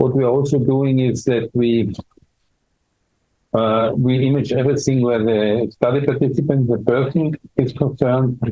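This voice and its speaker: Delivered in an Austrian accent, the speech is fairly slow with long, frequent pauses. Intonation stays fairly even, and loudness is very even. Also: man. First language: German. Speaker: dermatology professor. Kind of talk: interview. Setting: medical conference. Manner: halting, many fillers and repeats.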